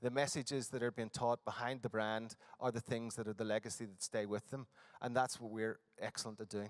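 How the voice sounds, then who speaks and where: Male voice of medium pitch with a Northern Irish accent, monotone, flat intonation and a fairly quick pace, in a dry, close sound with no echo. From Northern Ireland. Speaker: conference presenter. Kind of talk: conference presentation. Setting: conference hall with audience. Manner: hesitant, many fillers.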